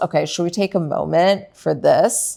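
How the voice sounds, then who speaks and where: At a fairly slow pace, a woman with a non-native accent and medium pitch speaks in an animated tone with ordinary pitch variation. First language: not English. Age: 30s. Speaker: wellness cooking show host. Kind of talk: casual cooking show chat. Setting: home kitchen.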